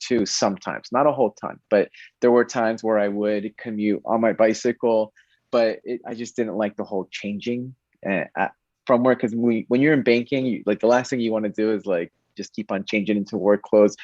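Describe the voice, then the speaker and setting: Against a quiet background, a man with an American accent and a plain, everyday voice speaks at a moderate pace and medium pitch, with fairly even intonation and a dry, close sound with no echo. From Connecticut. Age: 30s. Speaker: bank diversity manager and cyclist. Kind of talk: interview conversation.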